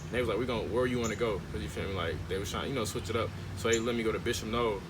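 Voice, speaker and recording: Talking at a very fast pace, a man in an American accent shows ordinary pitch variation. Noticeable background noise and audible room echo fill the recording. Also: medium pitch for a man. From Gary, Indiana, US Midwest. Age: 20s. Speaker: documentary filmmaker. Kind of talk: interview. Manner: casual, halting with fillers.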